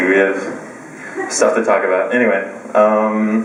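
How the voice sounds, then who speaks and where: Noticeable background noise and audible room echo surround a man speaking in an American accent. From United States. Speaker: stand-up comedian. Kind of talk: stand-up. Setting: stage with audience in a pub. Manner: halting, many fillers and restarts.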